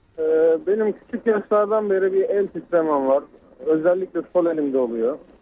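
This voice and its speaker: This man's voice sits high in pitch. His intonation is lively and his pace moderate. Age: 30s. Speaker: radio caller. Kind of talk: call-in question. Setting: phone call.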